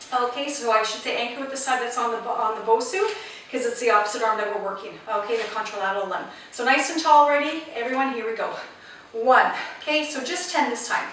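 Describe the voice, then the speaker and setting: An energetic voice rushes at a very fast pace amid noticeable background noise and audible room echo. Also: woman, high pitch for a woman, ordinary pitch variation. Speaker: fitness instructor. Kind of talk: exercise class instruction. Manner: energetic counting and cueing.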